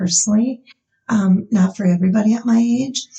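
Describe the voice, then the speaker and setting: A woman with a normal speaking voice, fairly even intonation and a moderate pace. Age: 60s. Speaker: nurse practitioner. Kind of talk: casual chat.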